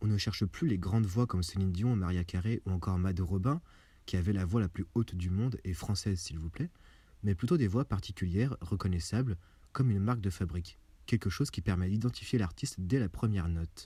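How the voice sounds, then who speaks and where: Soft-spoken and somewhat breathy, a man talks at a fairly quick pace and a fairly low pitch with ordinary pitch variation. His tone is dark and mellow, in a very clean recording with a silent background. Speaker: video essayist. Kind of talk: scripted narration.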